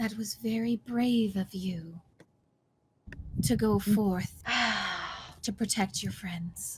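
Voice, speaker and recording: Using a put-on character voice, a female-sounding speaker talks at a medium pitch for a woman. The pace is very slow, with long, frequent pauses. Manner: praising, gentle.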